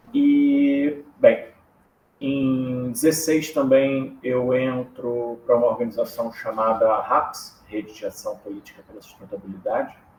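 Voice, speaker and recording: The pace of this man's speech is fairly slow. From Rio de Janeiro, Brazil. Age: 30s. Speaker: political strategist. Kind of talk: podcast interview.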